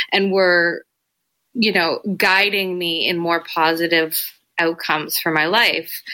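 A woman's fairly low, bright, sharp voice with a Canadian accent at a very slow pace, in a very clean recording with a silent background. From Toronto, Canada (Etobicoke). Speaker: literacy teacher. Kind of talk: interview.

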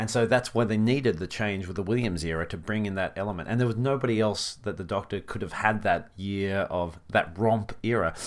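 The speaker, with an Australian accent, talks at a fairly quick pace with hardly any pauses in a very clean recording with a silent background. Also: man, fairly low pitch for a man, ordinary pitch variation. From Australia, country New South Wales. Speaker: comedian and actor. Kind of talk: casual interview.

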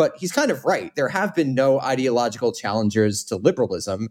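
A man's medium-pitched voice, dark and mellow in tone, with lively intonation at a very fast pace, on a very clean recording with a silent background. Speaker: podcast host. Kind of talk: interview conversation.

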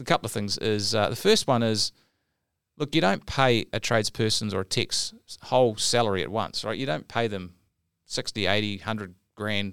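Moderately paced, a man talks in a normal speaking voice at a fairly low pitch. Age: 40s. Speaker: podcast host and business coach for tradespeople. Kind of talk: casual chat podcast. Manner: relaxed, jokey.

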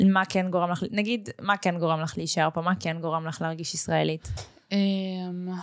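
A woman speaks at a moderate pace with a fairly low pitch and fairly even intonation, an ordinary speaking voice. The recording is very clean, with a silent background. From Israel, Russian family background. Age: 20s. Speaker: podcast host. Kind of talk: casual interview chat.

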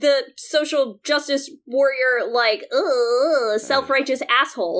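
The intonation is lively. Music can be heard behind the voice. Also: woman. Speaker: film critic. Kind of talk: casual chat.

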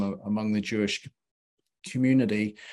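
The background is quiet and the pace moderate. A man talks at medium pitch with ordinary pitch variation. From Belfast, Northern Ireland. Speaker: theologian and author. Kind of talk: casual interview. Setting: live video show.

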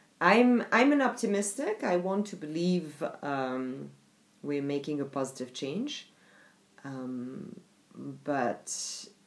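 A woman with a French accent, her pitch very deep and low with very wide swings, at a very slow pace. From France. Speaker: diversity and inclusion specialist. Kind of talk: interview. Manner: hesitant, many fillers.

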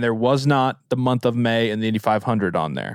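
An unremarkable speaking voice with ordinary pitch variation on a very clean recording against a silent background. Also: man. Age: 20s. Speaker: podcast host. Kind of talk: casual chat. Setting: studio.

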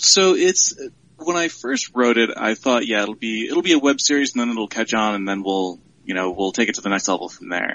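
A man with an American accent, medium pitch, very wide pitch swings and a fairly quick pace. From Central New York. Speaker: writer and web series creator. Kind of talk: casual interview.

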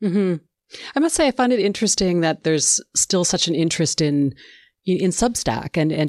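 A woman with a Canadian accent, a plain, everyday voice, fairly low-pitched and fairly quick, in a dry, close sound with no echo against a quiet background. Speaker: radio show host. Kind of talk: scripted narration and interview.

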